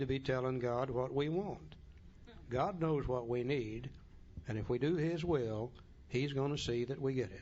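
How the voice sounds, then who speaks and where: A man at medium pitch and moderate pace, with ordinary pitch variation and audible room echo. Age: 60s. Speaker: recovery workshop speaker. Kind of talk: talk to a recovery group. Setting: room with audience. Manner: animated.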